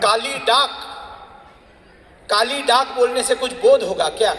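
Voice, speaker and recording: A man with a Marathi accent speaks over noticeable background noise. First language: Marathi (speaking Hindi). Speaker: public speaker. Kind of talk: speech to audience.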